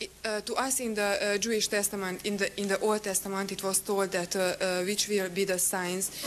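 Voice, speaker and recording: Monotone, flat intonation at a fairly quick pace over noticeable background noise. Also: woman, medium pitch for a woman, hardly any pauses. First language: non-English. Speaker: audience member asking a question. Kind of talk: audience question. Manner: halting, hesitant.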